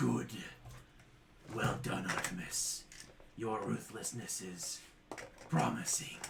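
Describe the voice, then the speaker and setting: A rumbling, put-on character voice moves at a fairly slow pace with long, frequent pauses. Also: man, very deep, low pitch for a man. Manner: approving.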